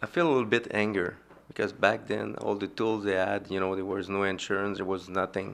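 A man with a Quebec accent speaks at a fairly low pitch, his intonation fairly even. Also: fairly quick pace. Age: 50s. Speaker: son of bombing victim. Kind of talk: interview. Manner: halting.

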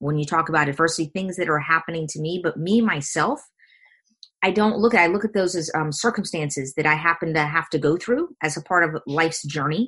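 With a bright, sharp tone and a fairly low pitch, a woman speaks at a fairly quick pace with ordinary pitch variation. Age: 50s. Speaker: coach and speaker. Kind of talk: casual chat.

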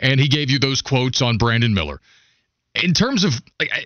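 With an ordinary speaking voice, a man speaks at a fairly quick pace with medium pitch and lively intonation. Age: 30s. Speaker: sports radio host. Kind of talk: casual chat. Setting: studio.

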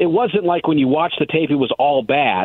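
Fairly quick, fairly high-pitched male speech in an ordinary speaking voice, with ordinary pitch variation. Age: 30s. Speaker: team radio coordinator and studio host. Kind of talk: casual chat.

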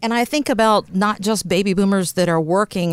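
Recorded very cleanly against a silent background, a woman talks at a moderate pace in an ordinary speaking voice with lively intonation. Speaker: co-host radio. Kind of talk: casual chat.

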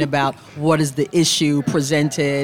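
Noticeable background noise surrounds a woman whose pitch is very deep and low. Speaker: appellate judge.

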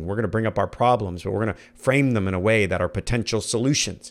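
Fast and animated, a man with an American accent and a fairly low pitch talks at a very fast pace on a very clean recording with a silent background. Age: 40s. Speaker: podcast host and leadership coach. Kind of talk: motivational monologue.

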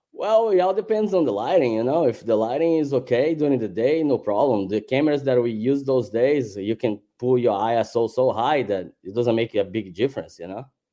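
A man with a Brazilian accent speaks at a medium pitch with a dark, mellow tone, lively intonation and hardly any pauses. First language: Portuguese. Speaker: celebrity photographer. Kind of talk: casual podcast interview.

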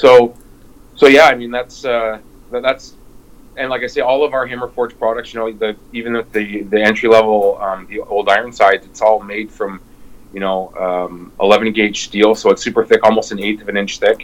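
With a Canadian accent, the speaker keeps a moderate pace and fairly even intonation. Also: man, medium pitch for a man. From Windsor, Ontario. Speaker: smoker manufacturer. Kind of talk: interview. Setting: video call. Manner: halting.

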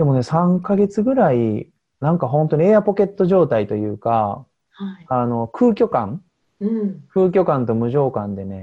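At a moderate pace, a man with a fairly high pitch lets his voice swing very widely up and down. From Osaka, Japan. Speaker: diet coach. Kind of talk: interview.

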